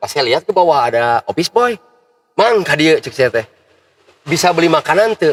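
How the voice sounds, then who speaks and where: A man speaks at a fairly quick pace with a fairly high pitch and very wide pitch swings. The sound is dry and close, with no echo. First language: Sundanese (speaking Indonesian). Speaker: local public figure and athlete. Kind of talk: casual chat.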